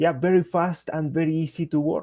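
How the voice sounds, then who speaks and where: A man speaks with a Spanish accent in a dark, mellow tone. The sound is dry and close, with no echo. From Colombia. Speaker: software engineer and tech speaker. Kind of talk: technical presentation. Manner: halting, with frequent fillers.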